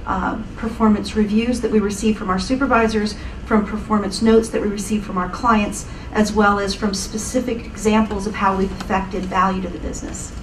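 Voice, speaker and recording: Amid noticeable background noise and audible room echo, a woman talks fairly quickly at a medium pitch with monotone, flat intonation. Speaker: panelist, knowledge management practitioner. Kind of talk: panel discussion. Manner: fast.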